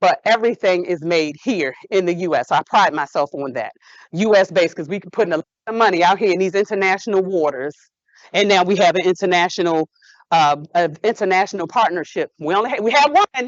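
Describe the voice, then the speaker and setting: A woman with a medium pitch speaks at a fairly quick pace in an animated tone, with ordinary pitch variation. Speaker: entrepreneur, hair care business owner. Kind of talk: invited talk to students. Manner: fast.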